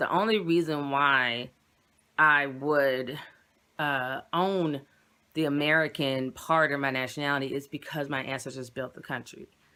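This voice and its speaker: A woman speaks in a very deep, low voice with a bright, sharp tone and fairly even intonation, on a very clean recording with a silent background. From Virginia, US. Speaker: YouTuber. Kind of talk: personal vlog. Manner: halting.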